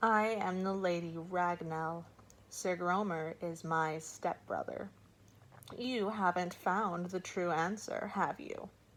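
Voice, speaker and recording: A woman uses a put-on character voice that is croaky, at a medium pitch. She talks at a fairly slow pace. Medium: read story. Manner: cool, certain, blunt.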